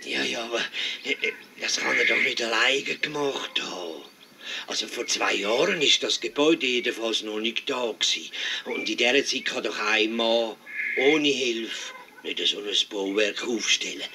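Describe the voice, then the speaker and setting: Over clear background noise, a man does a put-on character voice at medium pitch and a moderate pace. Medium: audio drama. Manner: hesitant, stammering.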